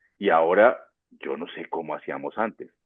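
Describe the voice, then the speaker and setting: A man speaks at a fairly slow pace. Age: 60s. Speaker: orchestra conductor. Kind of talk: panel discussion.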